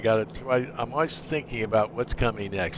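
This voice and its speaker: An ordinary speaking voice from a man, medium in pitch with ordinary variation, at a fairly quick pace. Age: 60s. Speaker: flight sim streamer and pilot. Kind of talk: live stream commentary.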